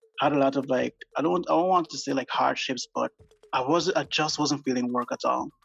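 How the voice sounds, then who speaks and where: Speaking with a Guyanese accent, a man talks at a fairly quick pace. The sound is dry and close with no echo, and music plays in the background. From Guyana. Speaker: illustrator and graphic designer. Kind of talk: casual interview chat. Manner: hesitant, many fillers.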